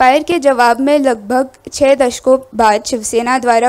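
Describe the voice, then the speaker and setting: A woman with a non-native accent speaks at a high pitch with fairly even intonation. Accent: non-native Hindi pronunciation. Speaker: queer activist panel speaker. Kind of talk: reading a prepared speech. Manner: halting, with fillers.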